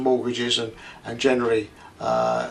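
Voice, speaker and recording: A man is speaking with an Essex accent. He keeps a moderate pace. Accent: southern English (Essex). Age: 70s. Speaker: retired equity release adviser explaining finance. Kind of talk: casual explainer video monologue. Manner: hesitant, many fillers.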